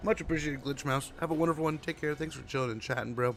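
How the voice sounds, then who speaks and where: Over music in the background, a man with a fairly high pitch talks at a very fast pace with ordinary pitch variation. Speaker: gaming streamer. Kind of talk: live gameplay commentary. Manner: casual, chatty.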